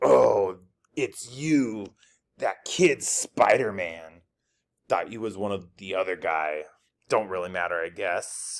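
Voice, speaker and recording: A man puts on a gruff, raspy character voice, fairly low in pitch, with big swings in loudness. He goes at a fairly slow pace with long, frequent pauses, on a very clean recording with a silent background. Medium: read story. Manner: gruff, streetwise.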